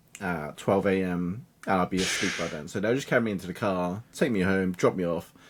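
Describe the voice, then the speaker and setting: In a British accent, a man with a very deep, low pitch talks at a fairly quick pace with ordinary pitch variation. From England, UK. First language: Cantonese. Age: 30s. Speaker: digital marketing coach. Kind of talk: podcast interview. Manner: halting.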